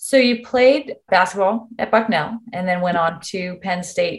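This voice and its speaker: Speaking at a fairly slow pace, a woman with an American accent has a medium pitch, ordinary pitch variation and a somewhat breathy voice. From Virginia, Richmond. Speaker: dermatologist interviewer. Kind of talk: interview.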